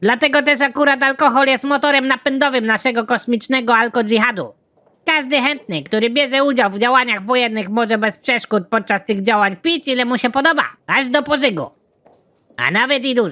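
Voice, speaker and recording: The speaker uses a cartoonish character voice at a fairly high pitch. The pace is very fast. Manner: polite, rambling.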